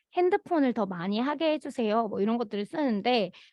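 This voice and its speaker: A woman's fairly high-pitched voice moves in very wide pitch swings. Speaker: conflict mediation program facilitator. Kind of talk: work meeting presentation. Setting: meeting.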